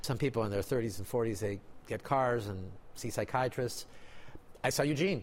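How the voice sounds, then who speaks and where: Over a silent background on a very clean recording, a man with a Spanish accent speaks at medium pitch with ordinary pitch variation. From Mexico. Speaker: doctor and magician. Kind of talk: interview.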